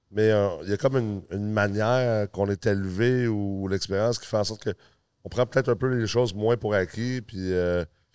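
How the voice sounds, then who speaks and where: On a very clean recording with a silent background, a man with a fairly low pitch talks at a moderate pace with fairly even intonation. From United States, then Quebec from age 10. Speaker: podcast host, real estate college president. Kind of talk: casual interview chat. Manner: hesitant, many fillers.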